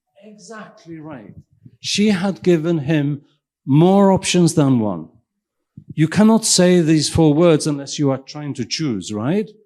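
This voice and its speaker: Speaking with a Welsh accent, a man uses a fairly high pitch, a dark, mellow tone and lively intonation, his loudness swinging widely and his speech broken by long, frequent pauses. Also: fairly slow pace. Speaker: invited keynote speaker, professor and physician. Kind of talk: lecture. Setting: stage with audience. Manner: interactive, questioning the audience.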